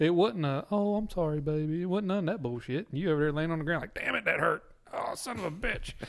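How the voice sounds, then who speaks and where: This man has a Southern US accent and a high pitch. He talks at a very fast pace with ordinary pitch variation. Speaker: podcast host. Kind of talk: casual drinking chat.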